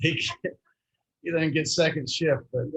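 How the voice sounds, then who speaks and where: A man with a Texan accent, somewhat breathy, at a fairly slow pace. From Texas, Fort Worth. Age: 70s. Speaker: youth minister. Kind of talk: club talk about his work. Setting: restaurant meeting.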